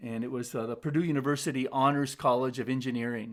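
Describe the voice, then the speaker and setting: The speaker has an American accent and talks at a fairly quick pace. The intonation stays fairly even. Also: man. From United States. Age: 60s. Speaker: youth development speaker. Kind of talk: webinar presentation. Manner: halting, many fillers.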